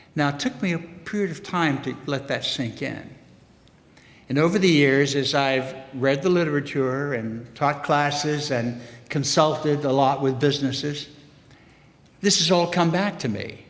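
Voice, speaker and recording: With an American accent, a man talks at a moderate pace in a fairly high pitch with ordinary pitch variation, and audible room echo surrounds him. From US South, Memphis, Tennessee. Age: 70s. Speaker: economics professor. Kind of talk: public forum speech.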